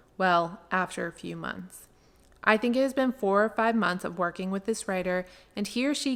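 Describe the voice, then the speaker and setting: A woman's medium-pitched voice, with ordinary pitch variation, moves at a moderate pace. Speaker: freelance writer. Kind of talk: reading an email aloud.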